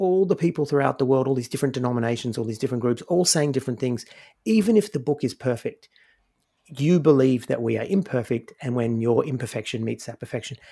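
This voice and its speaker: Speaking very fast in an Australian accent, a man has a medium pitch, ordinary pitch variation and a dark, mellow tone. The recording is very clean, with a silent background. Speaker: podcaster, former Pentecostal pastor-in-training. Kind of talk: casual chat.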